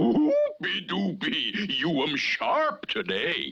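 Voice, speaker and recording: A man performs a cartoonish character voice at a high pitch. He speaks very slowly. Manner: gleeful, broken-English chatter.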